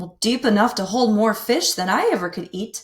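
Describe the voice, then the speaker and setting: Using a put-on character voice, a woman growls at a moderate pace with a fairly high pitch. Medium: read story. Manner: cheerful, hospitable.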